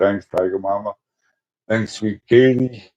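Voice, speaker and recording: A man with an American accent at a fairly slow pace, in a dry, close sound with no echo. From Brooklyn, New York, then Springfield, Illinois. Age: 60s. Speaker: live streamer. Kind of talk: casual chat. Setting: live stream. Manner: halting.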